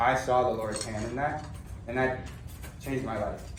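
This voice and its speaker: Speaking at a moderate pace with an American accent, a man is heard with audible room echo. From Minnesota, US (Forest Lake). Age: 20s. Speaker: seminarian. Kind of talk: testimony.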